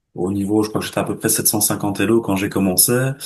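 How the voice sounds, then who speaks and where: Speaking with fairly even intonation, a man uses a fairly low pitch. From Belgium. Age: 20s. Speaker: chess student giving testimonial. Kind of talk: interview testimony. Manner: hesitant, many filler words.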